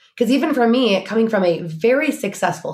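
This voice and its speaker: A woman speaks at a medium pitch with a somewhat breathy quality and very wide pitch swings. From Oregon. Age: 40s. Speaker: business strategist. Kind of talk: casual chat.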